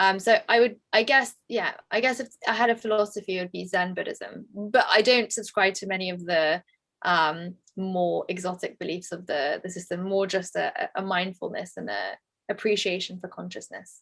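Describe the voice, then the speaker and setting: Her pitch medium with ordinary variation, a woman with a London accent talks with big swings in loudness. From England. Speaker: tech entrepreneur. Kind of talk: interview. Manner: fast.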